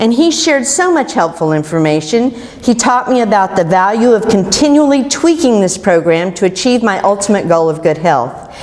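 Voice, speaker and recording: With an American accent, a woman speaks at a fairly high pitch and moderate pace, her pitch swinging very widely, her loudness very even, with hardly any pauses over noticeable background noise. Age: 60s. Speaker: keto success story speaker. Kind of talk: prepared personal testimony talk.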